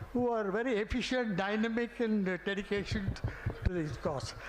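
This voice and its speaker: The speech moves at a fairly quick pace, with audible room echo and noticeable background noise. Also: man. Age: 80s+. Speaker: senior alumnus. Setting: stage with audience. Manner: halting.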